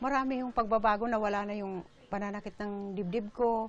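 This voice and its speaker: Monotone, flat intonation in a woman's voice of medium pitch. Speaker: former patient. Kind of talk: interview answer.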